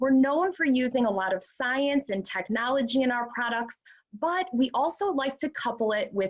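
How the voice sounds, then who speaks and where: This woman has a high pitch and a Midwestern American accent. She talks at a moderate pace with very wide pitch swings. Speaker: skincare training director. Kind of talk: panel discussion.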